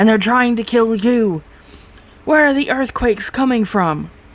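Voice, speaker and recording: Moderately paced delivery in a put-on character voice with a fairly high pitch. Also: female-sounding voice. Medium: read story. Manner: grim.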